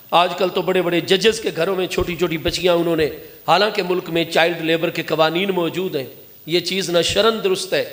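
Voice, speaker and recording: Through noticeable background noise, a man talks in a high-pitched voice with monotone, flat intonation. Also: moderate pace. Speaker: Islamic scholar, preacher. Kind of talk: religious sermon. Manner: emotional.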